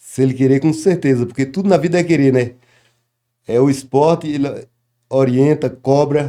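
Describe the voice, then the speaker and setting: With long, frequent pauses, a man of fairly high pitch and dark, mellow tone speaks at a moderate pace, his intonation fairly even and his loudness very even. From Bahia, Brazil. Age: 60s. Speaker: capoeira master. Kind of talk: interview.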